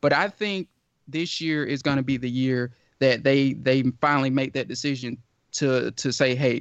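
Using a normal speaking voice, a man talks at a medium pitch and moderate pace with fairly even intonation. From Georgia, US. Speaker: sports writer and podcast host. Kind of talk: casual sports talk.

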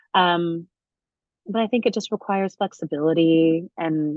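Her voice is an unremarkable speaking voice, a woman's at fairly low pitch with ordinary pitch variation. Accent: American. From US Midwest (southern Indiana). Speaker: Broadway actress. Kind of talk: casual interview. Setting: video call.

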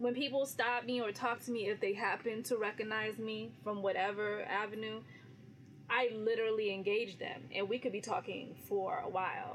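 With an American accent, a woman talks at a moderate pace in a normal speaking voice, her pitch varying in an ordinary way. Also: fairly high pitch for a woman. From California. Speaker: radio personality. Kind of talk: casual interview chat.

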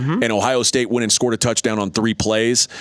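Medium-pitched male speech with an American accent, dry and close with no echo, over noticeable background noise. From Texas. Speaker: college football betting expert. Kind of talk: sports radio talk. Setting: studio.

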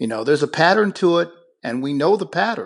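Against a quiet background, a man with an American accent uses lively intonation in a normal speaking voice. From Buffalo, New York. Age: 50s. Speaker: attorney and former political candidate. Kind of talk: radio interview.

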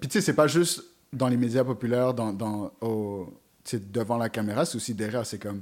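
On a very clean recording with a silent background, a man with medium pitch and ordinary pitch variation speaks in an unremarkable speaking voice. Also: moderate pace. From Montreal, Quebec (east end, around Montréal-Nord). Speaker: web series host and rapper. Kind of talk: casual chat.

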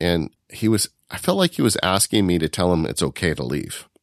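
A man speaks with a very deep, low pitch and vocal fry on a very clean recording with a silent background and a dry, close sound with no echo. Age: 50s. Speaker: podcast host, independent worker. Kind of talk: casual chat.

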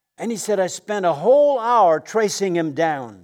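This man's voice is high in pitch for a man and swings very widely in pitch as he speaks at a moderate pace. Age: 70s. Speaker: guest pastor. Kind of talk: sermon. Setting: stage with audience.

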